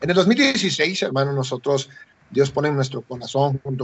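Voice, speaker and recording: A man talks at a moderate pace with ordinary pitch variation. His voice is somewhat breathy and fairly high in pitch. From Mexico, Chiapas (Tapachula). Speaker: missionary. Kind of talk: radio interview.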